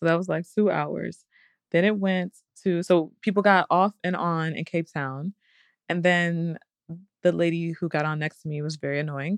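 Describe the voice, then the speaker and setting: In an unremarkable speaking voice, a woman talks at a moderate pace and fairly low pitch with fairly even intonation, the sound dry and close with no echo. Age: 30s. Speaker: podcast co-host. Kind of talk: casual chat.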